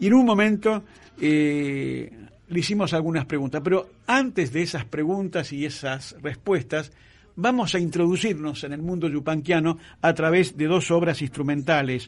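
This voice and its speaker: A man's fairly high-pitched voice with an Argentine accent, ordinary pitch variation and a moderate pace. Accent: Argentine Spanish (Rioplatense). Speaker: radio host. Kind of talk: radio interview and presentation. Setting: radio studio.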